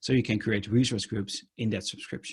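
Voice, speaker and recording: Somewhat breathy, a man with a Dutch accent speaks at a moderate pace. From Netherlands. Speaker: conference speaker. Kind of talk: technical talk with live demo. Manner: many filler ums.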